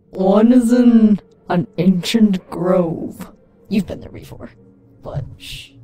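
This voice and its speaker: A put-on character voice, female-sounding, very slow with long, frequent pauses, over faint music in the background. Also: medium pitch for a woman. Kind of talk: comic overacting. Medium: game stream. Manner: mystic, hushed.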